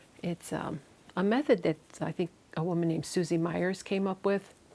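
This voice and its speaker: The speaker has a Chicago accent and fairly even intonation. The pace is fairly slow. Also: woman. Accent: Chicago Midwest. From US Midwest, Chicago. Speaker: knitting and spinning vlogger. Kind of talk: casual vlog chat. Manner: many fillers and false starts.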